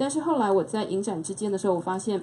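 Over light background noise, a woman talks at a very fast pace. Her intonation is lively. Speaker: film festival curator. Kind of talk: panel talk. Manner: casual, hesitant. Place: shop. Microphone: handheld.

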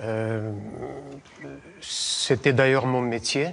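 With light background noise behind him, a man talks very slowly, his pitch varying in ordinary ways. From Bessarabia and Romania. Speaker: painter and author. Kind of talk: interview. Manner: halting. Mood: calm, reflective. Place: church. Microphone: lapel.

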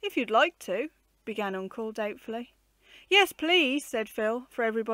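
The delivery is a natural reading voice. Its intonation is lively.

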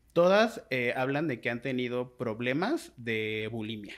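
A man is heard speaking over a quiet background. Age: 20s. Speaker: writer and blogger, body positivity advocate; blogger. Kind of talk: casual interview conversation. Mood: reflective, earnest. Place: home room. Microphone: studio mic.

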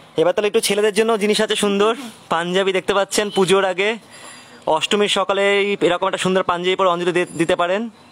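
A man's high-pitched, monotone delivery, flat in intonation and very even in loudness. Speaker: online craft showcase host. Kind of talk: live product showcase. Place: garden.

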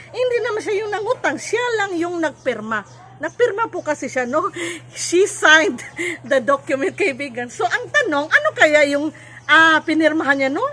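A woman with a Visayan accent uses a raised, projected voice at an extremely high pitch, her tone bright and sharp. She keeps a moderate pace while her pitch swings very widely. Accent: Visayan accent in Tagalog. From Cebu, Philippines. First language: Cebuano (speaking Tagalog). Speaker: vlogger and life coach. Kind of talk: educational vlog. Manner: halting.

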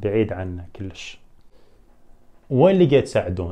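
In an Iraqi accent, a man speaks with a fairly low, somewhat breathy voice, a dark, mellow tone and lively intonation. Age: 20s. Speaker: YouTuber. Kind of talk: Q&A video. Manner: animated.

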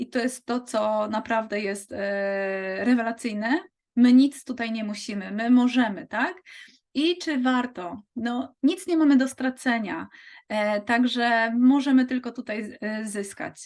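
A woman speaks at a fairly slow pace in a high pitch. Her pitch variation is ordinary, and the background is quiet. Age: 40s. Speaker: physiotherapist and network marketing recruiter. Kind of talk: sales pitch.

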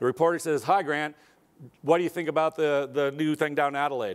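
In a quiet background, this male voice sits fairly high in pitch and varies it in an ordinary way. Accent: American. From Arizona, US. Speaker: aerospace company executive; keynote speaker. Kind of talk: keynote speech. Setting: stage with audience. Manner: casual with fillers. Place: hall.

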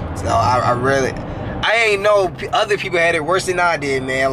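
A man talks at a fairly quick pace with very wide pitch swings. Noticeable background noise runs behind him. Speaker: vlogger. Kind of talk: casual vlog chat. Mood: reflective, apologetic. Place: car. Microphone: phone near.

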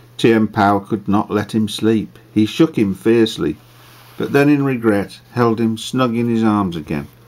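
The pitch shows ordinary variation. It belongs to an unforced reading voice.

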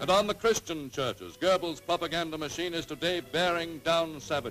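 A man at a moderate pace in a dramatic tone, with clear music in the background. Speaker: newsreel narrator. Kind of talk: newsreel narration. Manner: dramatic, authoritative. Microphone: old recording.

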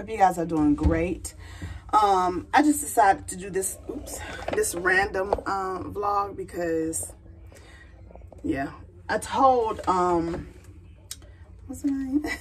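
A woman with an American accent speaks at a very slow pace, with long, frequent pauses. Her loudness swings widely over noticeable background noise. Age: 40s. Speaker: vlogger. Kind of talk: casual vlog talk to camera. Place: bathroom. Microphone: phone near.

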